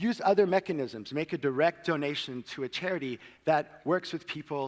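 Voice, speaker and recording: At a moderate pace, a man talks with lively intonation and a fairly high pitch. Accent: American. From Cape Town, South Africa and United States. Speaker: social innovation worker, conference speaker. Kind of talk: conference talk. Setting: stage with audience.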